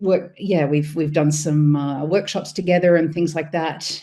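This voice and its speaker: A woman with an Australian accent speaks at a moderate pace in a very deep, low pitch, with a dark, mellow tone and ordinary pitch variation. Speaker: freelance business consultant. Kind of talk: self-introduction in online seminar.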